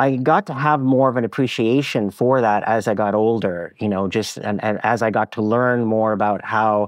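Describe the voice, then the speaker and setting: A man with a Montreal accent, fairly low in pitch, at a moderate pace with ordinary pitch variation. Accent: Canadian English (Montreal Anglophone). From Quebec, Anglophone suburb of Laval near Montreal. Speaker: cartoonist and former publisher. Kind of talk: interview conversation. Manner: halting, many repetitions and fillers.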